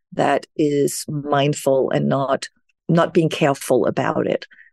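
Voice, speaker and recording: A woman's very deep, low pitch and dark, mellow tone with a Danish accent, a fairly slow pace and monotone, flat intonation, in a dry, close sound with no echo. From Denmark. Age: 60s. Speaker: self-care speaker and author. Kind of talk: interview.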